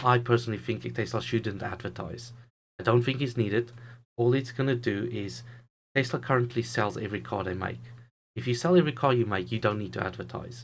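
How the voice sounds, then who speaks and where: This man talks at a fairly quick pace with vocal fry, a medium pitch and fairly even intonation. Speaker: YouTube investing commentator. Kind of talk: solo video commentary. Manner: halting, stumbles over words.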